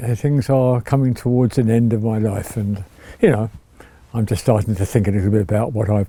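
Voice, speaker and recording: A man speaks with an English accent. His pitch is medium. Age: 80s+. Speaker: retiree sharing life story. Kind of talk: reminiscing interview. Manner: halting.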